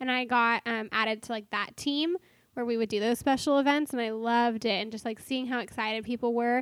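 A woman's fairly high voice at a fairly quick pace, with fairly even intonation, in a very clean recording with a silent background. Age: 20s. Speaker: coffee stand worker. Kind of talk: casual chat. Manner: loud.

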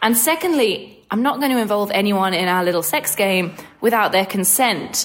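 Lively intonation with an Australian accent, very even loudness, and noticeable background noise. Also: woman, medium pitch for a woman, moderate pace. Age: 20s. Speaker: caller. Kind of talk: recorded voicemail question.

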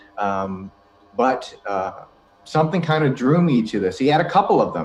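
Moderate-paced speech from a man with an American accent and a medium pitch, over noticeable background noise. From Boston, Massachusetts. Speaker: paranormal investigator and voice-over artist. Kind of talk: casual interview chat.

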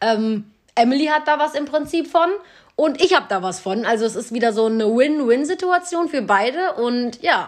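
Lively intonation marks this woman's high-pitched speech. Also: moderate pace. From Cologne, Germany. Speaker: podcast host and small business owner. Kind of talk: casual chat.

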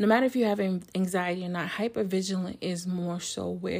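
A normal speaking voice comes at a moderate pace with fairly even intonation in a very clean recording with a silent background. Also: woman. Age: 40s. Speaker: podcast host. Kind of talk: solo podcast monologue.

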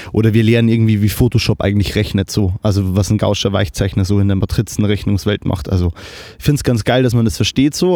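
The man talks at a very fast pace with ordinary pitch variation. His voice is fairly low, with a dark, mellow tone. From Lower Bavaria, Germany (Kelheim). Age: 20s. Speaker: videographer and media student. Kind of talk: casual chat. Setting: remote recording over the internet. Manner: animated, enthusiastic; halting, many fillers.

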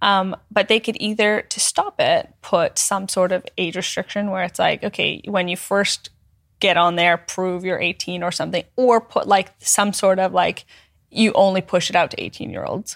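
A woman with a plain, everyday voice, medium pitch and a Canadian accent, at a moderate pace with fairly even intonation, in a dry, close sound with no echo on a very clean recording with a silent background. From northern Alberta, Canada. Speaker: content creator. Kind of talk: casual chat. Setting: studio.

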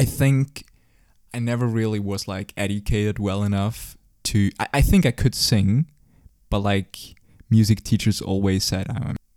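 This man has a fairly low pitch and a Swiss German accent, with ordinary pitch variation. He speaks at a moderate pace in a very clean recording with a silent background. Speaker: podcast host. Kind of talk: casual chat.

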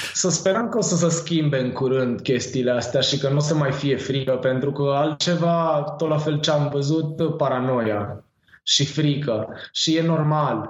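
A somewhat breathy man at a fairly slow pace, ordinary pitch variation, and audible room echo. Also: fairly high pitch for a man. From Romania, Târgoviște. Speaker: cannabis grower and seed shop owner. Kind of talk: casual chat.

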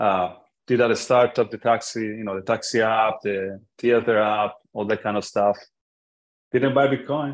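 A man with an Italian accent speaks at a moderate pace. His pitch is medium and his intonation fairly even. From Italy, Florence. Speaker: tech startup founder. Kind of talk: casual interview conversation. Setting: remote call.

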